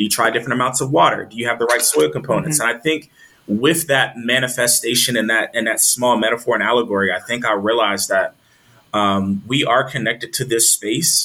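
Fairly quick speech with an American accent and ordinary pitch variation. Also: man, medium pitch for a man. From US, military family (Texas, Maryland, Virginia, Delaware). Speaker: agriculture leader and doctoral student. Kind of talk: interview. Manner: animated.

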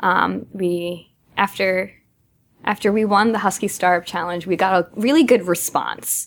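A woman speaks with an American accent. Hers is a normal speaking voice at medium pitch. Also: fairly even intonation, fairly slow pace. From Massachusetts. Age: 20s. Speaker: startup co-founder. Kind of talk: interview.

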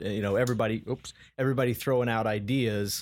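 A man with an American accent and an unremarkable speaking voice talks at a medium pitch with ordinary pitch variation, on a very clean recording with a silent background. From Colorado. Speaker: sales executive. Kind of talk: casual interview.

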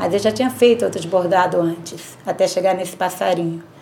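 A woman speaks at medium pitch and a moderate pace, with ordinary pitch variation. She has an unremarkable speaking voice. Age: 50s. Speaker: embroiderer. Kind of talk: testimony.

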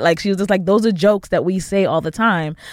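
A normal speaking voice from a woman with an American accent, medium in pitch, with ordinary pitch variation. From the Bronx, New York. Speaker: producer. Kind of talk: casual chat.

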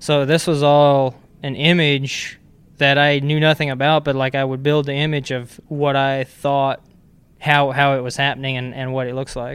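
A man with an American accent speaks at a moderate pace. His pitch is fairly high and his intonation monotone and flat. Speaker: racing car chief. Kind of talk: interview.

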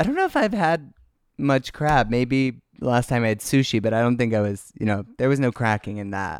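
On a very clean recording with a silent background, a man with a normal speaking voice talks at a moderate pace and medium pitch. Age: 20s. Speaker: lip-sync artist. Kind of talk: casual chat.

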